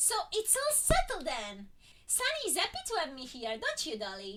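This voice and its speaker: A woman uses a put-on character voice at an extremely high pitch. She moves at a moderate pace with very wide pitch swings. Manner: cheerful, trilling.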